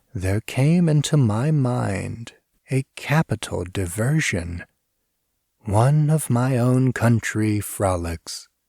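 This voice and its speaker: A man's quiet, put-on character voice at a medium pitch, delivered at a very slow pace. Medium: read story. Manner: quiet, composed.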